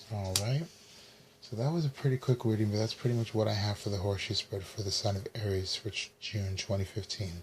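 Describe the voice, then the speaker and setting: Soft-spoken and somewhat breathy, a man talks at a fairly quick pace in a fairly low pitch with ordinary pitch variation. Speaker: tarot reader. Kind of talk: tarot reading.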